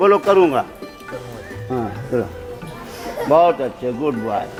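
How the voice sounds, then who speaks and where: A man's voice makes very wide pitch swings amid noticeable background noise. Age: 70s. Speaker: wedding priest. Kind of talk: wedding ritual instruction.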